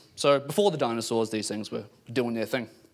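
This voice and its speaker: Pitched in the middle range, a man speaks with ordinary movement in his pitch. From New Zealand. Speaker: PhD student in palaeontology. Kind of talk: public science talk. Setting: pub event with live audience.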